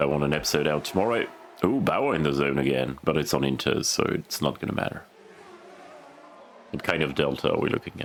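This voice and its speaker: A man keeps to a moderate pace as noticeable background noise carries on around him. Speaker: gaming video creator. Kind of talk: gameplay commentary. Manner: quieter and lower than usual.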